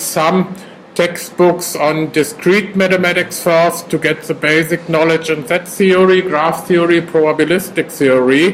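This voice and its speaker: With a German accent, the speaker talks with hardly any pauses over noticeable background noise. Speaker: professor. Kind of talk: lecture. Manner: hesitant.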